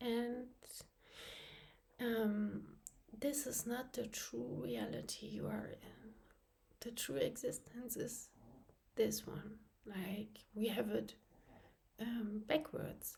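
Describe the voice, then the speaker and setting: A woman talks at a very slow pace, her speech broken by long, frequent pauses. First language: not English. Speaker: channel host, abuse survivor. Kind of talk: personal vlog monologue, partly reading a script. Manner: halting with frequent fillers.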